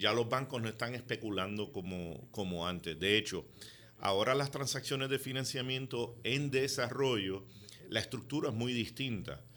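At a moderate pace, a man talks in a medium pitch with a bright, sharp tone and ordinary pitch variation. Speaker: real estate developer. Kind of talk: radio interview.

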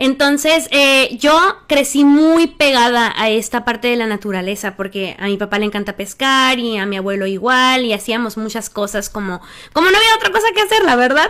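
With hardly any pauses, a woman talks at a moderate pace in a high pitch with lively intonation. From Sonora, Mexico (Empalme). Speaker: singer-songwriter. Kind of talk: interview.

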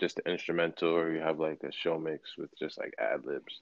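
With an American accent, this man delivers his words at a moderate speed. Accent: sometimes taken for Californian. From Brooklyn, New York. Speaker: rapper. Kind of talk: casual interview. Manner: nonchalant, laid-back.

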